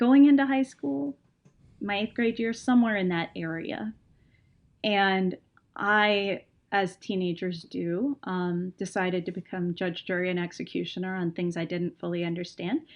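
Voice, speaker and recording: A woman with an American accent, medium pitch, ordinary pitch variation and a moderate pace, an unremarkable speaking voice. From Texas. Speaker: creative writing professor and music fan. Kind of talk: casual podcast conversation.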